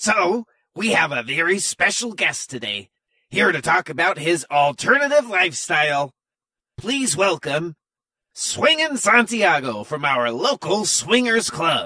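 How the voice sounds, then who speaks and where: In a dry, close sound with no echo, a man speaks at a fairly slow pace, his high pitch moving in very wide swings. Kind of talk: comic variety show hosting. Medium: comedy sketch. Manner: bubbly, enthusiastic.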